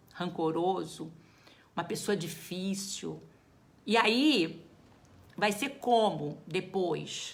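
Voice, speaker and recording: There is audible room echo as a woman speaks with vocal fry. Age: 60s. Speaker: geriatrician. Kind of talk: live talk to viewers. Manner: casual, conversational.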